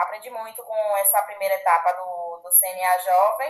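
A woman talks fairly slowly at a medium pitch in a plain, everyday voice. Her intonation is lively. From Bahia, Brazil. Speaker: agronomist and young agribusiness leader. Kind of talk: casual interview.

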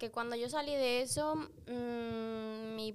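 At a fairly high pitch, a woman speaks in a plain, everyday voice with ordinary pitch variation. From Peru, moved to Spain around age 7 or 8. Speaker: athlete and referee. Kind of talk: casual chat.

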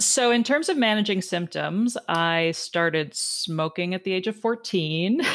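A woman's ordinary speaking voice, medium in pitch, at a fairly slow pace with lively intonation and hardly any pauses, on a very clean recording with a silent background. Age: 40s. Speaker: podcast host and health coach. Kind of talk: casual interview chat.

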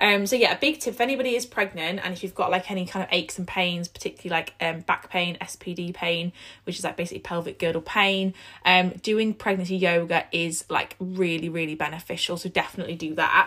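A woman talks fast with few pauses and fairly even intonation. Her fairly low voice is croaky, with a bright, sharp tone.

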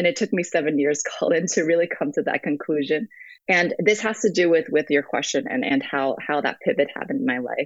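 Speaking at a fairly quick pace with an American accent, a woman uses a fairly low pitch and very wide pitch swings. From US (West Virginia, North Carolina, New York). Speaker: nonprofit city director. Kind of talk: interview. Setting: call over messaging app.

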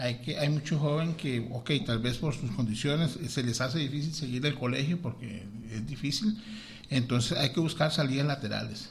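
A somewhat breathy voice at a moderate pace, with ordinary pitch variation. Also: man, fairly high pitch for a man. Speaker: school principal and vice-mayoral candidate. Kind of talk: radio interview.

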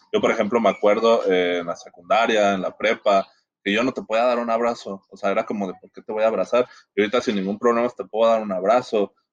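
Fairly quick in pace, a man uses an ordinary speaking voice at a medium pitch with fairly even intonation. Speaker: podcast guest. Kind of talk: casual discussion.

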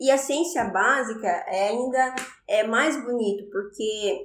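In a room with audible echo, a woman talks in a fairly high pitch with ordinary variation. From Brazil, interior of São Paulo state. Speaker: astrophysicist. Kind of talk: interview. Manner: halting.

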